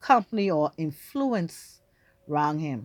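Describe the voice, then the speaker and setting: A woman with a Bahamian accent speaks very slowly in a very deep, low pitch, with a dry, close sound with no echo and a quiet background. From Bahamas. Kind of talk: casual storytelling to camera.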